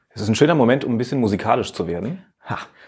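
A man is speaking. The background is quiet. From Germany, Saarland. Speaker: radio podcast host. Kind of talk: casual interview.

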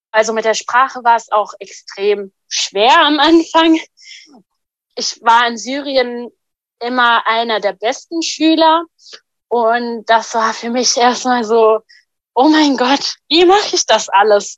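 A high-pitched woman's voice with ordinary pitch variation, very slow and full of long, frequent pauses, in a dry, close sound with no echo. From Syria. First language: Arabic (speaking German). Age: 20s. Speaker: refugee and hospital volunteer. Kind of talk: personal testimony.

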